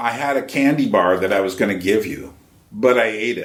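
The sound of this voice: A man puts on a raspy character voice at a medium pitch, speaking at a moderate pace.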